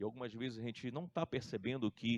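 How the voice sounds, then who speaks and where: This speaker has a Brazilian accent and ordinary pitch variation. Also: man. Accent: non-Santa Catarina Brazilian. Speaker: pastor. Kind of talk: sermon.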